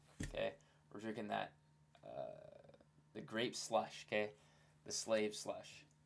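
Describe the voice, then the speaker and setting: A man speaks with long, frequent pauses. His loudness swings widely. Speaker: looksmaxxing content creator. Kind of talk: casual commentary on facial analysis. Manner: fast; casual, filler-heavy.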